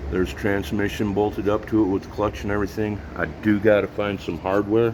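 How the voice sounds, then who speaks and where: The voice moves at a moderate pace with fairly even intonation over noticeable background noise. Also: man. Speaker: mechanic / vehicle builder. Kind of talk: casual workshop vlog. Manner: halting, self-described stuttering.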